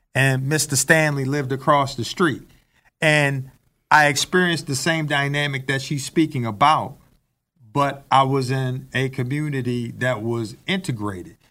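In an ordinary speaking voice, a man with an American accent talks at a moderate pace. His pitch is fairly high, with ordinary pitch variation. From Baltimore, Maryland (Randallstown). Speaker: talk show co-host. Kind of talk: casual chat.

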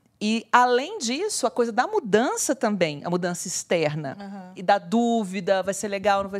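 Speaking at a moderate pace with hardly any pauses, a woman has a plain, everyday voice at a medium pitch, with ordinary pitch variation and big swings in loudness. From moved around Brazil (Maranhão, Pará, Brasília, Vitória). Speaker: podcast co-host. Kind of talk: casual chat.

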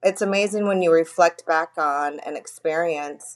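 A plain, everyday voice, this woman with an American accent speaks at a fairly low pitch and a moderate pace with fairly even intonation. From California (Bakersfield). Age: 50s. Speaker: grieving daughter, friend of host. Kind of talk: casual chat.

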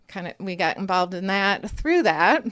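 This woman talks with a Wisconsin accent at a medium pitch and a moderate pace. The recording is very clean, with a silent background. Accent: Upper Midwest (Wisconsin). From rural Wisconsin. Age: 50s. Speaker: creamery owner and dairy farmer. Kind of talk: interview. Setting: on location at her farm.

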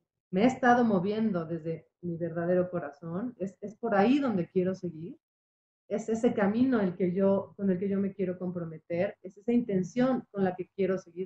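Somewhat breathy and medium in pitch, a woman's voice moves at a moderate pace with lively intonation. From Mexico, Puebla. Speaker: psychotherapist. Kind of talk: radio interview.

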